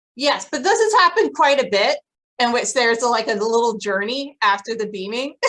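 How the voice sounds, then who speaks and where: With a high pitch and lively intonation, a woman talks at a fairly quick pace. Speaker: podcast co-host. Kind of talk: casual chat.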